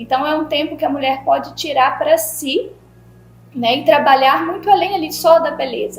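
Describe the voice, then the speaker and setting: A woman's high voice, with ordinary pitch variation, moves at a moderate pace while noticeable background noise is heard. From Bahia, Brazil. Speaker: podcast host. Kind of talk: podcast interview.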